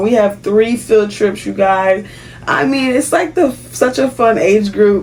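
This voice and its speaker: Noticeable background noise sits behind a woman's fairly high voice. She talks fairly slowly, with ordinary pitch variation. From Haiti. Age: 30s. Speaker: kindergarten teacher. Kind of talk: casual vlog talk to camera.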